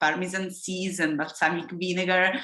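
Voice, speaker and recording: A woman with an Italian accent speaks at a fairly low pitch in a bright, sharp tone. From Italy. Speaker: engineering professor. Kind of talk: lecture. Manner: halting.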